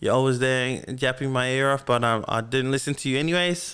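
In an Australian accent, a man speaks fairly quickly at medium pitch with monotone, flat intonation, on a very clean recording with a silent background. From Melbourne, Australia. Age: 20s. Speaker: podcast host. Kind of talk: casual monologue. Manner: halting, many fillers.

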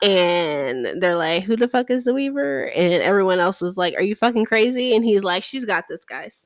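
A woman with a normal speaking voice talks at a medium pitch and moderate pace, her intonation lively and hardly any pauses, on a very clean recording with a silent background. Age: 30s. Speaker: podcast co-host. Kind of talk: casual chat.

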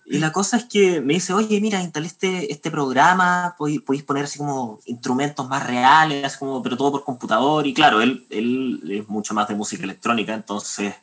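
This man has a Chilean accent and a fairly high pitch. He talks at a moderate pace, his pitch swinging very widely. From Chile, Santiago. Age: 20s. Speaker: composer. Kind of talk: interview.

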